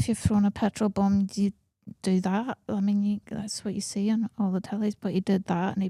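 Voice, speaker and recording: In a very clean recording with a silent background, a woman with a Northern Irish accent speaks at a medium pitch in a somewhat breathy, dark, mellow tone with fairly even intonation. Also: dry, close sound with no echo. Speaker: comedian. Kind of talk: casual chat.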